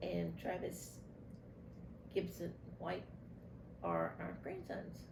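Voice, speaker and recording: A woman speaks with an East Texas accent. The room echo is audible. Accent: East Texas Southern US. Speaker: grandmother interviewed for family archive. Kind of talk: oral history interview.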